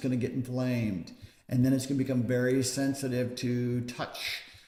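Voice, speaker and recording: Pitched at a medium level, a man's voice comes with audible room echo and noticeable background noise. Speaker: back pain clinician. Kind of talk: educational talk to camera.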